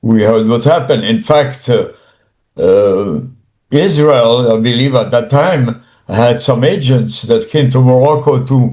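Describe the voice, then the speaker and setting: A man's medium-pitched voice, dark and mellow and somewhat breathy, with lively intonation, a fairly slow pace and very even loudness. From Morocco. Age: 80s+. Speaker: author, retired army engineers administrator. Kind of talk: interview answer. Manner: hesitant, slow.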